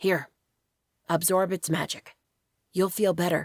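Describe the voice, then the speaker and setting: A raspy, female-sounding put-on character voice at a middle pitch, fairly slow and monotone with flat intonation. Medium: read story.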